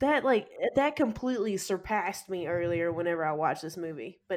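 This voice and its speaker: A woman with an unremarkable speaking voice talks at a medium pitch. Her pace is fairly quick and her intonation lively. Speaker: podcast co-host. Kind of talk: casual chat, movie discussion.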